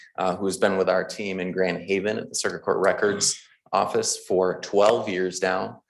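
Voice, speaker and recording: This man talks at a fairly quick pace. His pitch sits fairly low. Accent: Midwestern. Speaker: county clerk. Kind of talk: public meeting announcement. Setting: county board meeting at podium.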